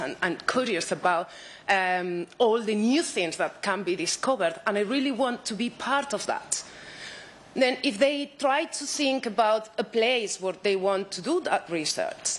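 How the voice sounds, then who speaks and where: With a Spanish accent, a woman speaks at a fairly slow pace. Her pitch is fairly high and her intonation lively. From Spain. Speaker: researcher. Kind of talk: conference talk.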